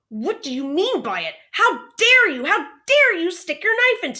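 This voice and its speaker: In a put-on character voice with very wide pitch swings and some hissing, the speaker goes at a moderate pace on a very clean recording with a silent background. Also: woman, extremely high pitch for a woman. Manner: angry, hissing.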